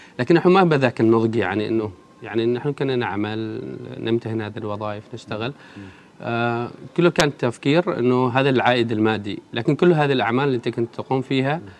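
A man speaks at a moderate pace, his medium pitch rising and falling in an ordinary way. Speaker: bookshop founder. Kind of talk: interview. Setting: radio studio. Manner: hesitant fillers.

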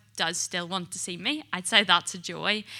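A woman speaks at a medium pitch and moderate pace in a bright, sharp tone with fairly even intonation. The recording is very clean, with a silent background. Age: 20s. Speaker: mental health nurse. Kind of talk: testimony.

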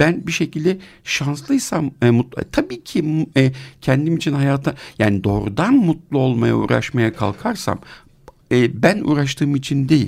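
Slow-paced and lively in intonation, a man speaks in a fairly high pitch with a normal speaking voice. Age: 50s. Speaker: psychiatrist and podcast co-host. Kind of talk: casual discussion.

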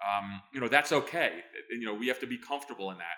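A man's medium-pitched voice races at a very fast pace while its pitch varies in an ordinary way. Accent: American. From United States. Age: 50s. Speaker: former intelligence officer. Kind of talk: interview. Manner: halting.

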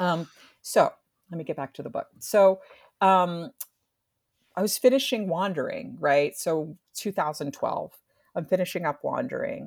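A woman with an American accent speaks at a medium pitch with lively intonation, pausing long and often. The recording is very clean, with a silent background. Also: fairly slow pace. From US Northeast, New Jersey. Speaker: professor. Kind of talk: academic interview.

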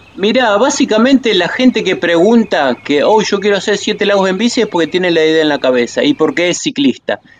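A man speaks in a high pitch with very wide pitch swings. His pace is fairly quick, with hardly any pauses. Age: 60s. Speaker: cycling tour guide. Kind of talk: interview. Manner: halting, many fillers and repetitions.

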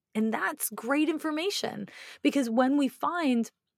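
A woman speaks at a fairly slow pace, the sound dry and close with no echo. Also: very clean recording, silent background. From Canada, Montreal. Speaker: astrologer. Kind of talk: interview.

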